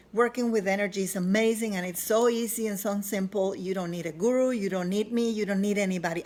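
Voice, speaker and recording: A woman talks at a fairly quick pace and a medium pitch. Her intonation stays fairly even. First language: not English. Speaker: self-help author. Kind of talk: personal vlog testimony. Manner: halting, with fillers.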